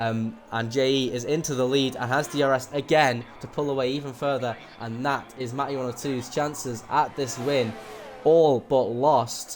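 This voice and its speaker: A man talks at a moderate pace with fairly even intonation. Noticeable background noise runs underneath. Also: medium pitch for a man. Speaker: esports race commentator. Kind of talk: live commentary.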